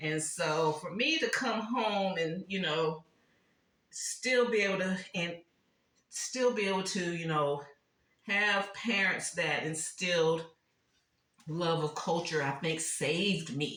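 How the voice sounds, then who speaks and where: Very slow, relaxed delivery with long, frequent pauses, ordinary pitch variation and audible room echo. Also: woman, fairly low pitch for a woman. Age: 60s. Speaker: lifestyle vlogger, former caterer. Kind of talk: casual home decor vlog. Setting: home kitchen. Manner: relaxed, conversational with many fillers.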